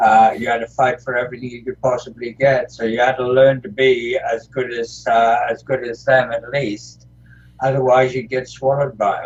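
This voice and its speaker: A somewhat breathy man speaks at a medium pitch and a moderate pace, his intonation fairly even but his loudness swinging widely. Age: 70s. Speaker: retired pro wrestler. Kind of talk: interview. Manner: halting, many fillers.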